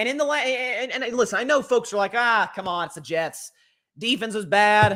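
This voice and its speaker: On a very clean recording with a silent background, a man projects a raised voice at a fairly quick pace. His tone is bright and sharp, with lively intonation. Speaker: NFL podcast host. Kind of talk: sports commentary show. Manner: animated.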